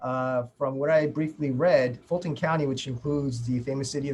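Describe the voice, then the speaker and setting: At a moderate pace, a man with a New York accent talks in a fairly high pitch. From New York, immigrant family. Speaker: prosecutor, immigrant affairs section chief. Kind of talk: webinar panel discussion.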